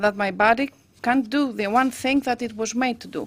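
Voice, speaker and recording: The speaker has a Greek accent and a fairly even intonation. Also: woman. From Greece. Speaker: patient advocate. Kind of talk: personal testimony speech. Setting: parliament roundtable event.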